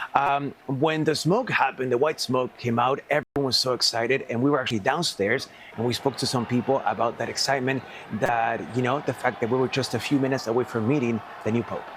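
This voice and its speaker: Noticeable background noise surrounds a man speaking at a very fast pace. His pitch is medium, his intonation fairly even. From Peru. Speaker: TV news reporter. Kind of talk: live news report.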